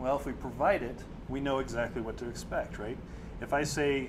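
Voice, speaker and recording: Audible room echo surrounds a man's medium-pitched voice with vocal fry. He keeps a fairly quick pace and fairly even intonation. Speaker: software developer presenting at user group. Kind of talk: technical presentation. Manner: fast.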